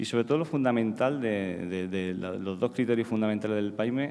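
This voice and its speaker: A man talks at a fairly quick pace, his pitch fairly low. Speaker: psychiatrist. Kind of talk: conference talk. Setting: stage with audience. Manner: halting, many repetitions.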